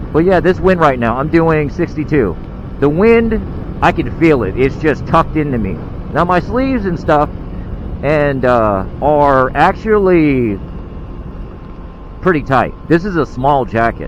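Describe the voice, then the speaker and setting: Against noticeable background noise, a man with a fairly high pitch and lively intonation talks at a fairly slow pace, leaving long, frequent pauses. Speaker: motovlogger. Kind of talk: casual vlog narration while riding. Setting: on a motorcycle, outdoors. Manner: loud.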